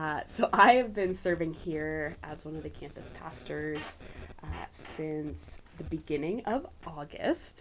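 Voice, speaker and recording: Speaking very slowly with an American accent, a woman uses a very deep, low pitch with ordinary pitch variation, vocal fry, and big swings in loudness. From US, central Pennsylvania. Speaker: university campus pastor. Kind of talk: casual interview. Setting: small padded studio room.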